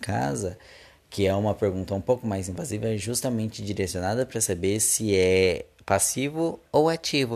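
Lively intonation marks this man's speech in a Brazilian accent. He keeps a moderate pace. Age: 20s. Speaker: podcast host. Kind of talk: casual solo monologue.

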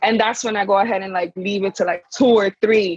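Recorded dry and close with no echo, a woman in an unremarkable speaking voice talks at medium pitch and a fairly quick pace. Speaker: panel guest. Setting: remote call from abroad.

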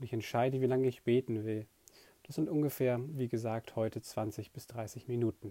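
This man speaks at a medium pitch with an unremarkable speaking voice and fairly even intonation. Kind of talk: guided meditation. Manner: slow, calm, soft-spoken; gentle, unhurried, with long pauses.

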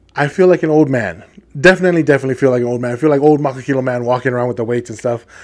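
An animated man with a fairly high pitch and ordinary pitch variation. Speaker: podcast host. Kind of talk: solo monologue podcast. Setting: studio microphone. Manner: loud.

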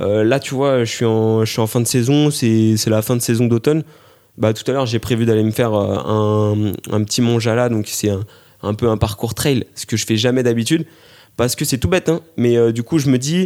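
A man speaks at a medium pitch with a dark, mellow tone and ordinary pitch variation. The recording is very clean, with a silent background. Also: moderate pace. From Paris region, France. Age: 20s. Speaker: amateur runner and military sports instructor. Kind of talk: interview. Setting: living room at home. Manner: hesitant with repetitions.

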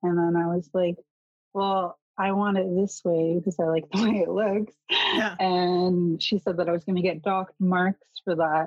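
A woman with a Canadian accent speaks at a medium pitch and a moderate pace. Her intonation is monotone and flat, and her loudness very even. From northern British Columbia, Kitimat. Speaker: youth care counselor. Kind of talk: casual interview chat.

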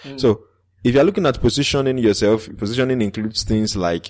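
At a very fast pace, a man with a Nigerian accent talks at a medium pitch with ordinary pitch variation in a very clean recording with a silent background. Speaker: podcaster. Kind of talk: interview.

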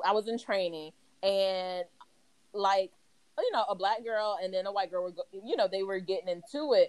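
A woman's medium-pitched voice with an American accent and fairly even intonation, an ordinary speaking voice. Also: moderate pace. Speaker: guest. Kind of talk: casual chat.

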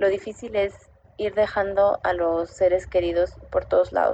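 A woman speaks at a fairly slow pace in a monotone, flat delivery. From Mexico City. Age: 30s. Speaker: expat sharing her experience. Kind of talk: recorded personal testimony.

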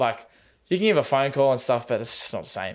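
A man talks with an Australian accent on a very clean recording with a silent background. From Tasmania, Australia. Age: 20s. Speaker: semi-professional goalkeeper and personal trainer. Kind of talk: casual interview chat.

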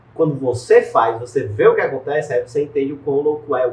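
A man is talking. His voice is somewhat breathy. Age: 20s. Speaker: digital marketing entrepreneur. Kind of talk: interview. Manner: casual slangy.

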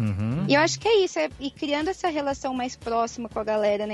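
Very fast speech comes through with a dry, close sound and no echo. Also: woman. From Brazil, Mato Grosso do Sul (Campo Grande). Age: 20s. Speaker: singer-songwriter. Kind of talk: remote interview.

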